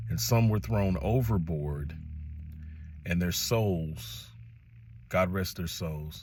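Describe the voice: With an American accent, the speaker goes at a slow pace in a slightly mellow tone, with ordinary pitch variation. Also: man, low pitch for a man.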